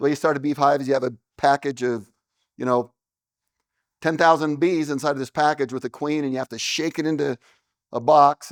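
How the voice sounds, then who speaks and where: A man with an American accent speaks at a fairly quick pace with long, frequent pauses, in a dry, close sound with no echo on a very clean recording with a silent background. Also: fairly even intonation. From Utah. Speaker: beekeeper and business owner. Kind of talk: seminar talk. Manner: loud.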